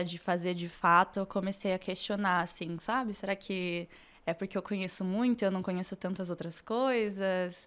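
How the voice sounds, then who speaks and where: A woman talks at a fairly slow pace with a medium pitch. Her intonation is flat and monotone, on a very clean recording with a silent background. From Brazil, Curitiba. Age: 20s. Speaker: medical student. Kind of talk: podcast interview.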